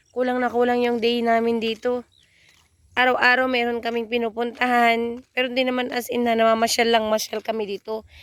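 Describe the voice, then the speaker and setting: A woman talks at a very fast pace in a fairly high pitch, her intonation monotone and flat. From Philippines, Isabela province. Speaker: vlogger. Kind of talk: casual vlog narration. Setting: outdoors.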